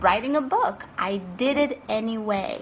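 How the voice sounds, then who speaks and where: A woman with a non-native accent and a fairly high pitch, amid noticeable background noise. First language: not English. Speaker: life coach and author. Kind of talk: motivational talk to camera.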